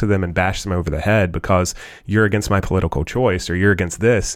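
A man's fairly low voice with an American accent at a very fast pace. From United States. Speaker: co-host and pastor. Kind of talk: casual podcast discussion.

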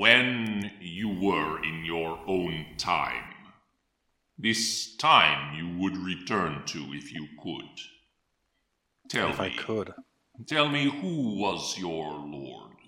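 A man speaks in a put-on character voice, very deep and low, at a very slow pace. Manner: cold, formal, imperious.

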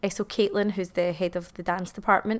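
A medium-pitched woman with a Glasgow accent. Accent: Scottish (Glasgow). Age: 30s. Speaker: dance school owner. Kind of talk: interview.

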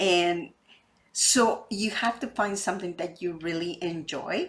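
On a very clean recording with a silent background, a woman with a Spanish accent speaks at a fairly slow pace with ordinary pitch variation. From Mexico. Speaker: real estate podcast host, wealth advisor. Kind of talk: interview.

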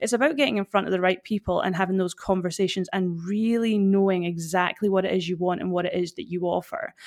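A woman speaks very fast in a Highland Scottish accent, with hardly any pauses. Her pitch is medium, with ordinary pitch variation. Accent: Scottish, Highland, noticeable. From Fort William, Scotland. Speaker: personal brand strategist. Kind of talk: podcast interview, advice.

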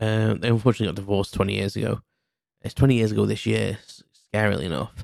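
The speaker has a Cheshire accent and a very fast pace. The loudness swings widely. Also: man. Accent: northern English (Cheshire). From England, Cheshire. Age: 40s. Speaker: podcast host. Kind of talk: casual solo monologue. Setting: mum's kitchen. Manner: hesitant, many fillers.

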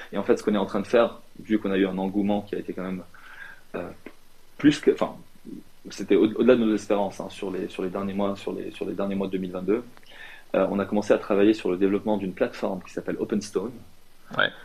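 A man with a fairly low pitch speaks at a very fast pace, in a monotone, flat intonation. His loudness swings widely, and he leaves long, frequent pauses. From Lebanon. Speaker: fintech entrepreneur and property investor. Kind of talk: interview. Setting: shared office at an incubator. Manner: halting, many repetitions.

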